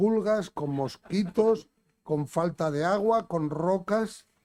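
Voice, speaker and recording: A man's dark, mellow voice at a very slow pace, with ordinary pitch variation. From Spain. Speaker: event presenter. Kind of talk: speaker introduction.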